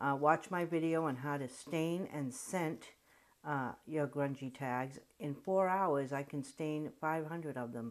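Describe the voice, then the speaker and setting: Someone with a Rhode Island accent talks at a fairly slow pace with ordinary pitch variation, on a very clean recording with a silent background. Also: woman, very deep, low pitch for a woman. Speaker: crafter. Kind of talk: craft tutorial talk. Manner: casual, chatty.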